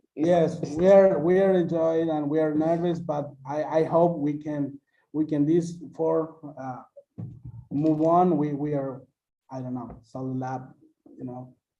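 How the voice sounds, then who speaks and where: In a room with audible echo, a man speaks fairly slowly with a dark, mellow tone and a fairly high pitch. His intonation stays fairly even, broken by long, frequent pauses. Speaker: university student. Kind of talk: casual chat. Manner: halting.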